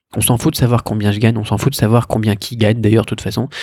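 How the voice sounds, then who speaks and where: At a very fast pace, a man speaks at medium pitch in a dark, mellow, somewhat breathy tone. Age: 30s. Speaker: e-commerce podcaster. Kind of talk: solo podcast monologue. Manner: casual, hesitant with many fillers.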